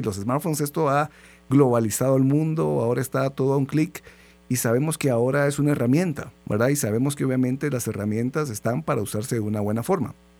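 At a very fast pace and very even loudness, a man talks in a very clean recording with a silent background. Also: medium pitch for a man, ordinary pitch variation. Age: 40s. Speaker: radio host. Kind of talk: radio interview. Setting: radio studio.

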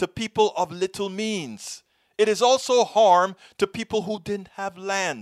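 Recorded with a dry, close sound and no echo, a man speaks at a high pitch. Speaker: video commentator and podcast host. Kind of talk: rally or protest speech, passionate commentary on American history and racism. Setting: online video channel. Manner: impassioned, forceful, rhetorical; emphatic, repeating phrases for effect.

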